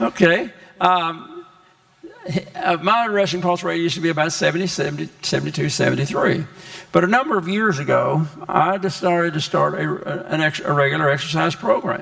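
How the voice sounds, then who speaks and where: Over noticeable background noise, a man with a high pitch speaks at a fairly quick pace with ordinary pitch variation. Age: 80s+. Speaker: health educator. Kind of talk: health talk to congregation. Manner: halting.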